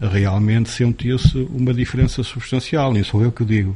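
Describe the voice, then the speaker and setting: The voice is somewhat breathy, keeping a moderate pace and ordinary pitch variation. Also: man. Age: 50s. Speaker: former local politician. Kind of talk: interview.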